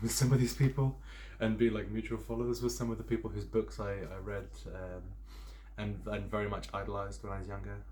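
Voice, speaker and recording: In a British accent, a man speaks at a fairly quick pace with long, frequent pauses, and room echo is audible. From southern England, Sussex. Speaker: pagan witchcraft content creator. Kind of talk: casual personal introduction. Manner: hesitant, many fillers.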